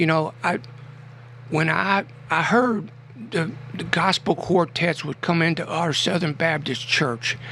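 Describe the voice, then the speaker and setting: Over noticeable background noise, a man with a fairly high pitch and ordinary pitch variation speaks fairly slowly, pausing long and often. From Kentucky, Adair County. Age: 60s. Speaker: poet. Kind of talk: radio interview. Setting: radio studio. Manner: animated.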